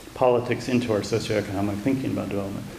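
Audible room echo and light background noise surround a man speaking with an American accent. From US. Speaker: democracy aid expert, think tank vice president; guest lecturer. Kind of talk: lecture. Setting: university lecture room with audience. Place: hall. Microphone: podium.

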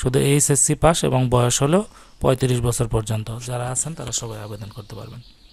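A man's somewhat breathy, medium-pitched voice shows ordinary pitch variation and big swings in loudness. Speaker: YouTube educator. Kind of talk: tutorial. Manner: reading aloud from a notice.

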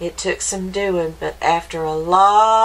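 This plain reading aloud has pitch that shifts in an ordinary way.

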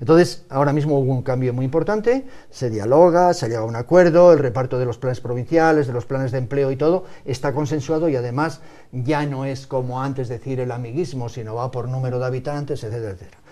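Against a quiet background, a dark, mellow voice runs at a very fast pace with ordinary pitch variation. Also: man. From Spain, León province; Spain. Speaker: farmers' union leader and provincial politician; guest. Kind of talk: TV talk show interview. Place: studio.

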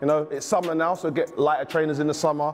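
Music drifts faintly behind the speech. The voice belongs to a man. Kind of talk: casual vlog chat. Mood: jokey, playful. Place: shop.

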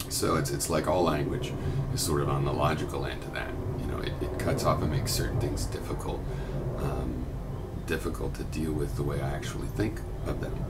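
Over loud background noise, the speech moves at a fairly quick pace. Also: man. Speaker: video blogger. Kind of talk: explanatory monologue. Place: home room. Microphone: webcam.

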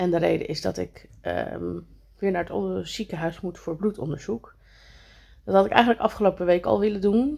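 A woman at a moderate pace, with a quiet background. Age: 40s. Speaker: vlogger. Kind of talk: casual vlog talk. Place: home room. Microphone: phone near.

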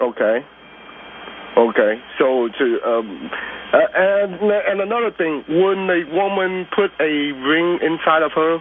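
At a very slow pace with long, frequent pauses, a man talks at a high pitch with very wide pitch swings, over noticeable background noise. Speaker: caller. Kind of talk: call-in radio talk. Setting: phone call. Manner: halting.

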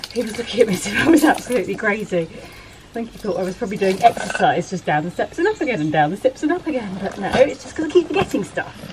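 A woman talking very fast with hardly any pauses and big swings in loudness, over noticeable background noise. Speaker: vlogger. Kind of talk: casual vlog chat. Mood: amused, self-deprecating. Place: garden. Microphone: camera far.

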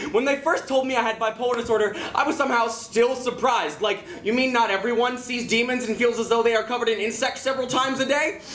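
At a very fast pace with hardly any pauses, a man speaks at an extremely high pitch with fairly even intonation. Audible room echo and light background noise come through. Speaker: slam poet. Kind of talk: slam poetry performance. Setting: live venue. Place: stage. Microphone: camera far.

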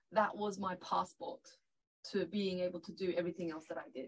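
Woman with a Turkish accent, somewhat breathy, at a moderate pace against a quiet background. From Northern Cyprus (Turkish Cypriot). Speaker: lawyer and party leader; lawyer. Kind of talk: panel discussion. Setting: studio. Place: studio.

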